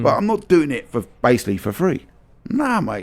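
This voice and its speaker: A man with a London accent, very wide pitch swings and a fairly quick pace. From London, England. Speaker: vintage soccer merchandise store owner. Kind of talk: podcast interview conversation. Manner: exuberant, animated, profane.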